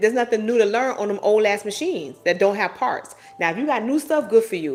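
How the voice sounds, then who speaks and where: A woman talks in an animated tone at a fairly quick pace, with noticeable background noise behind her. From US South. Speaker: postal worker and live-stream host. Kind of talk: casual live-stream chat reading comments. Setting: home live stream at night.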